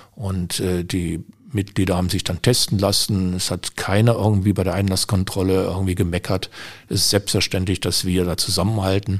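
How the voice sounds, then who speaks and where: In a very clean recording with a silent background, a man speaks with a very deep, low pitch. His intonation is monotone and flat, and his pace is moderate. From Germany, Düsseldorf. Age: 60s. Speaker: shooting club official and civil servant. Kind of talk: interview. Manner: hesitant with frequent fillers.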